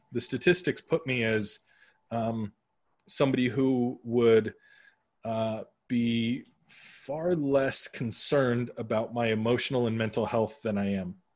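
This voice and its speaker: A man with an American accent talks at a fairly slow pace, medium in pitch with ordinary variation. He has a plain, everyday voice, and the background is quiet. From Arizona, US (west Phoenix). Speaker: podcaster and brand consultant. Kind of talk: casual interview chat.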